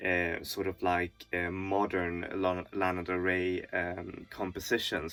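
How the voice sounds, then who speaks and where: Speaking very slowly, this man has a non-native accent. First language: not English. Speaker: music reviewer. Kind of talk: album review monologue. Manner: halting, many fillers.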